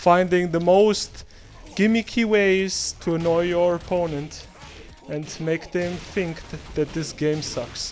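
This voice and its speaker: A very slow pace and fairly even intonation over noticeable background noise. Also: man, high pitch for a man. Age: 20s. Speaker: video game tutorial creator. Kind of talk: tutorial. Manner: halting, many fillers.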